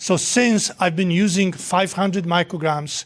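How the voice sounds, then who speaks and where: A man with a Polish accent speaks at a high pitch. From Poland. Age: 60s. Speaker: nutrition professor. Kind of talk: lecture with Q&A. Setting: hall with live audience.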